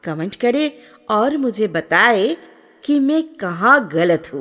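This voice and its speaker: Her voice fairly high, a woman with a non-native accent swings her pitch very widely. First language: not Hindi (speaking Hindi). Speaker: travel vlogger. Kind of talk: travel vlog narration.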